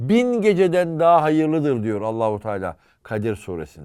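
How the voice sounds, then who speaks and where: On a very clean recording with a silent background, a man's voice makes very wide pitch swings. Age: 50s. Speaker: historian and author. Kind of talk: casual chat.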